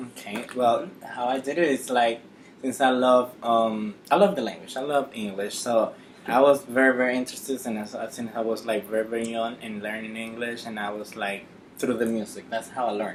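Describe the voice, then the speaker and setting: With music in the background, a man with a Dominican accent speaks at a medium pitch and fairly even intonation. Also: moderate pace. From Dominican Republic, Santo Domingo. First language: Spanish. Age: 20s. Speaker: nurse. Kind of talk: interview.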